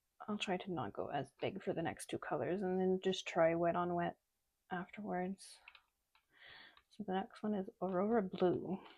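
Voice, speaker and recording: Pausing long and often, a woman of medium pitch speaks at a moderate pace with fairly even intonation. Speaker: art channel host. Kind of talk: casual chat.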